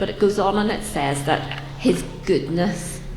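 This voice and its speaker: A woman talks with a Northern Irish accent at a moderate pace, with ordinary pitch variation. Noticeable background noise and audible room echo fill the recording. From Northern Ireland, Belfast. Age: 30s. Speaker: churchgoer sharing testimony. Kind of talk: testimony. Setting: church with audience. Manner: hesitant, frequent ums.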